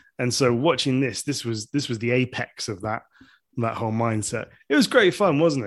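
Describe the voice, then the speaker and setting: The speaker has an English accent and ordinary pitch variation. The pace is moderate, over a quiet background. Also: man, medium pitch for a man. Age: 30s. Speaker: podcast host. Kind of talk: casual chat. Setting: home kitchen.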